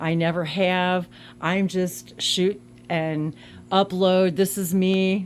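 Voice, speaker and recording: Pitched fairly low, a woman's voice moves at a very slow pace. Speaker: YouTuber sharing camping adventures. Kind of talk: casual chat. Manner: loud; halting, with many restarts.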